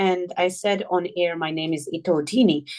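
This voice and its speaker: At a moderate pace, a woman speaks with a Moroccan accent. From Morocco, Amazigh region. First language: Tamazight. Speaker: journalist and author. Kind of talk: interview.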